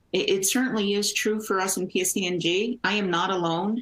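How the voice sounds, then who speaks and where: Over noticeable background noise, a woman with a medium-pitched voice talks at a fairly quick pace. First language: Portuguese. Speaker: energy company executive. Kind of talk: panel discussion.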